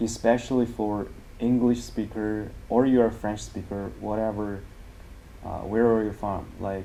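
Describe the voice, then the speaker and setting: A man with a Chinese accent speaks fairly slowly in a fairly low, dark, mellow tone with monotone, flat intonation. Audible room echo is present. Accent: Mandarin Chinese. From China. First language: Mandarin Chinese. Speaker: language teacher. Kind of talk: tutorial. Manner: halting.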